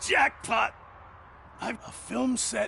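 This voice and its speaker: Someone is shouting in a put-on character voice amid clear background noise. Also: man, extremely high pitch for a man. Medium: video game. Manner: nervous, stammering, excitable.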